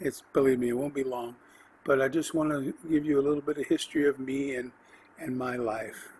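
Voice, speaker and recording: Noticeable background noise sits behind a man speaking at a fairly quick pace with an American accent. His fairly high voice has monotone, flat intonation. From California, US. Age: 60s. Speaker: podcast host. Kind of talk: autobiographical monologue. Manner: halting, many fillers.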